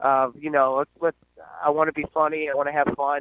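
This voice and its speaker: A man with an American accent and fairly high pitch delivers his words at a fairly quick pace in a monotone, flat intonation. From Central Virginia (Fredericksburg, Spotsylvania area). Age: 30s. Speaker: jiu-jitsu gym owner and instructor. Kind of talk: casual interview.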